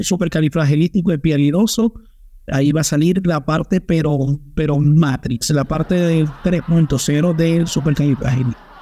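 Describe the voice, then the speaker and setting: This man has a dark, mellow tone and a fairly high pitch. He speaks at a moderate pace with ordinary pitch variation. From Venezuela, Maracaibo-born, raised in Aragua. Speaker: podcast co-host. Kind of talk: casual chat.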